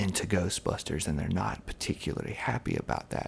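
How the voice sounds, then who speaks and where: Soft-spoken and fairly slow, a man talks with lively intonation. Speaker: ASMR creator. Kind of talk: casual talk to camera.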